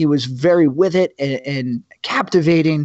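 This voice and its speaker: In an American accent, a man with a normal speaking voice talks at a fairly high pitch with ordinary pitch variation. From New Jersey. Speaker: podcast host and Army veteran. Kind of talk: casual chat.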